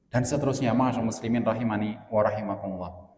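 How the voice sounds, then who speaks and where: A man's voice is heard with audible room echo. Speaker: Islamic preacher. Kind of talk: religious lecture.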